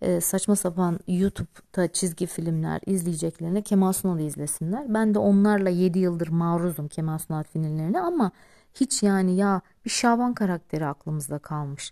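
Very clean and recorded against a silent background, this woman's voice has a dark, mellow tone. Her pitch sits in the middle range. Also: dry, close sound with no echo. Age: 40s. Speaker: teacher and podcaster. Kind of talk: personal monologue. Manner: rambling conversational.

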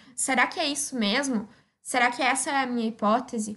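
A woman with a high voice talks at a fairly quick pace, her intonation fairly even. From Rio Grande do Sul, Brazil (Osório). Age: 20s. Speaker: young scientist. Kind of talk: personal testimony.

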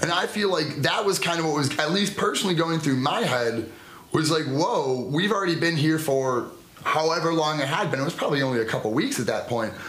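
A man speaks at a fairly high pitch and a fairly quick pace. His loudness stays very even, with noticeable background noise behind him. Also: ordinary pitch variation. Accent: American. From United States. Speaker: podcast co-host. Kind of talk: casual chat.

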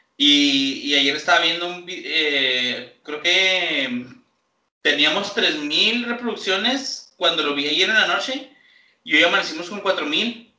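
In a room with audible echo, a man speaks very slowly at a high pitch with lively intonation. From Chihuahua, Mexico. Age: 20s. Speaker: podcast co-host. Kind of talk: casual chat.

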